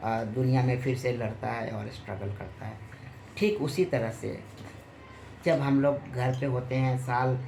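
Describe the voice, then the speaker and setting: Medium male pitch in a room with audible echo. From Bihar, Muzaffarpur. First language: Bhojpuri (speaking Hindi). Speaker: film and TV actor. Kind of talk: interview.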